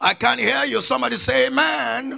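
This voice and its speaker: A man uses a raised, projected voice at an extremely high pitch with a bright, sharp tone. His intonation is lively and his pace very slow. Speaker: pastor. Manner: emphatic and repetitive, drilling key phrases and prompting the congregation to answer.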